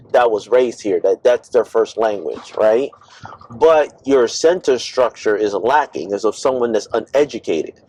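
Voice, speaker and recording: Here is a man with an American accent speaking at a moderate pace. Noticeable background noise runs under a dry, close sound with no echo. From United States. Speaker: Panamanian returnee living in Panama. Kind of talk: casual conversation during driving tour. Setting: in a car.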